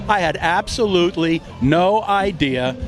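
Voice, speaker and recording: A man with an American accent and a high pitch, over background music. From New York. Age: 80s+. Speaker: local political activist. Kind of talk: street interview.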